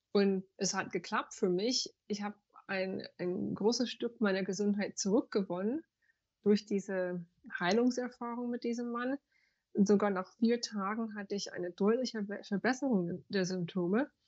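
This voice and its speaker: This woman talks at a medium pitch, leaving long, frequent pauses. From USA. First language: English (speaking German). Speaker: banker, yoga teacher and spiritual coach. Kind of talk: interview. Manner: halting, searching for German words.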